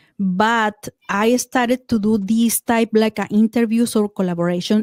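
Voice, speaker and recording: Speaking very slowly with a Spanish accent, a woman has a fairly high pitch, a dark, mellow tone and fairly even intonation, recorded dry and close with no echo. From Mexico. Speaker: podcaster and paranormal experiencer. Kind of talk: casual interview chat. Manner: halting, frequent fillers and repeats.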